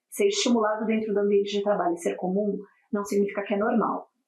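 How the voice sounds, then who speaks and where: Speaking with a non-native accent, the woman keeps her voice at a medium pitch. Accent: foreign accent in Portuguese. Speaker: corporate wellbeing speaker. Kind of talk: podcast interview.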